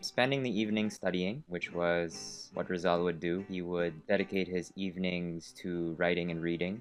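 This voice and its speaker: Music plays in the background as the speaker goes at a moderate pace with fairly even intonation. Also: man. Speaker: vlogger. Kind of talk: video diary.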